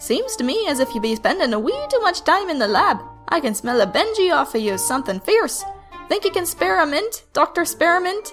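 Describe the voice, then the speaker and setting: A woman in a put-on character voice at a fairly quick pace, with clear music in the background. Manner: lilting.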